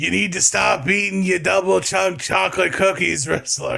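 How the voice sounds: A raspy put-on character voice from a man, fairly high in pitch, at a moderate pace with very even loudness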